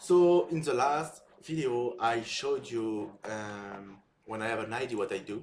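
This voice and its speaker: Fairly slow, lively speech from a man at a medium pitch, with a French accent. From France. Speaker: software developer and content creator. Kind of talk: casual live build-in-public talk. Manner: halting.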